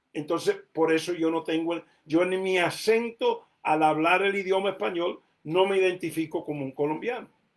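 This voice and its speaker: A high-pitched man talks at a fairly slow pace. His pitch varies in an ordinary way. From United States. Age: adult. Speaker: preacher. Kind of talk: sermon.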